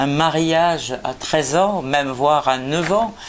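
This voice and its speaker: Lively intonation from a woman, with noticeable background noise. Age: 60s. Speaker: politician. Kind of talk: prepared statement. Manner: hesitant, many filler sounds.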